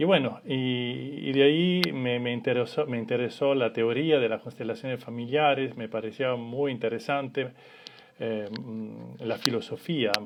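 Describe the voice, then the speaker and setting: At a fairly slow pace, a man speaks in an Italian accent with ordinary pitch variation. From Italy. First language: Italian (speaking Spanish). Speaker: family constellations facilitator. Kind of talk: live stream talk. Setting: Instagram live. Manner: halting.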